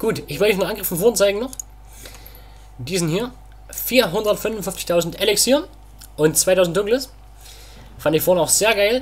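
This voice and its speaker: A man's voice with lively intonation. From Saxony, Germany. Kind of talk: casual gameplay commentary. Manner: quieter than usual.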